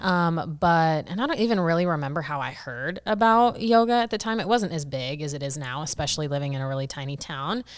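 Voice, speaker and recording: Loud and very fast, a woman with a very deep, low pitch talks with very wide pitch swings. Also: very clean recording, silent background. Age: 20s. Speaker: entrepreneur and meditation guide. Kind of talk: casual interview.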